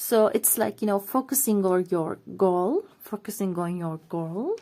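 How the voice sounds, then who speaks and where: Speaking with a non-native accent, a woman uses a dark, mellow tone at a fairly slow pace with ordinary pitch variation. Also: medium pitch for a woman. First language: not English. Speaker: tarot reader. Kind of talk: tarot reading monologue. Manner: halting, many fillers.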